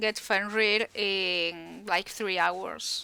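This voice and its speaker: The voice has a bright, sharp tone and a Spanish accent. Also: woman, very clean recording, silent background. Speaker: video game streamer. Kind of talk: casual chat.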